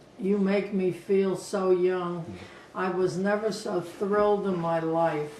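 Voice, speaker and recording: Amid noticeable background noise and audible room echo, a woman speaks at a very slow pace with monotone, flat intonation. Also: medium pitch for a woman. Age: 80s+. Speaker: grandmother interviewed for a TV show. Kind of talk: interview. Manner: halting.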